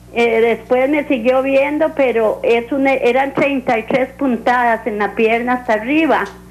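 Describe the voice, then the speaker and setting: A woman's high-pitched voice with fairly even intonation, very even loudness and hardly any pauses, against noticeable background noise. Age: 70s. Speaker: caller. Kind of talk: call-in question.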